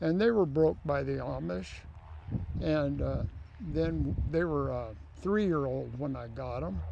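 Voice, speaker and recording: Music plays in the background as a man speaks at a fairly slow pace. Room echo is audible. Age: 70s. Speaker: mule driver. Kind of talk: casual interview.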